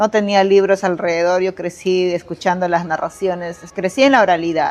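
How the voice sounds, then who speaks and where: Speaking at a moderate pace, a woman with an ordinary speaking voice keeps a medium pitch and fairly even intonation. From Bagua, Amazonas, Peru. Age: 40s. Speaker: poet, storyteller and translator. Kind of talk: interview answer.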